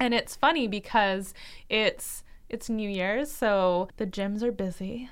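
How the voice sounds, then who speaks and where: Speaking at a very slow pace, a woman has a Canadian accent. The recording is very clean, with a silent background. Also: fairly high pitch for a woman, ordinary pitch variation. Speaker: dietitian and podcast co-host. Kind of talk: casual chat.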